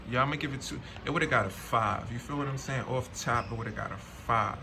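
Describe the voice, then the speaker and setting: A man speaks at a medium pitch with audible room echo. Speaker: streetwear unboxing reviewer. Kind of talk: casual unboxing review. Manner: slurred; animated.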